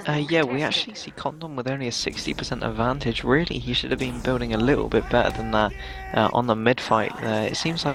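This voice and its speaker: The speech moves at a very fast pace with music playing in the background. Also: man. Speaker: esports caster. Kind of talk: live commentary. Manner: quieter than usual.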